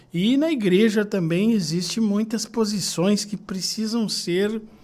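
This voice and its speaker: A man at a fairly slow pace. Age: 60s. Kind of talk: podcast interview.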